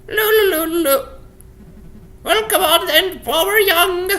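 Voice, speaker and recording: A woman in a put-on character voice with an extremely high pitch and a fairly slow pace. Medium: solo performance. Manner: brash, mocking.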